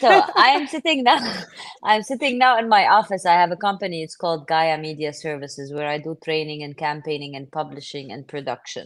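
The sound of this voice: A woman speaks at a fairly quick pace, her pitch low for a woman and her tone fairly bright. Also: ordinary pitch variation.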